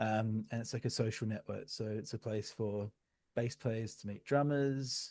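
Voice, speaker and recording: A man speaks with an Australian accent at a medium pitch. His tone is dark and mellow, with fairly even intonation. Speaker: music tech entrepreneur. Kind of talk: interview. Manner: hesitant, many fillers.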